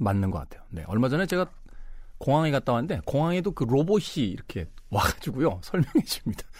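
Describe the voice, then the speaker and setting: A man talks very fast with vocal fry, his fairly high voice making very wide pitch swings. The recording is very clean with a silent background. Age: middle-aged. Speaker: radio host. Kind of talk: casual radio monologue.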